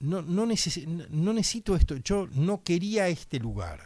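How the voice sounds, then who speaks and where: A man speaks with a dark, mellow tone and a fairly high pitch. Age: 60s. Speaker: political candidate. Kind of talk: radio interview.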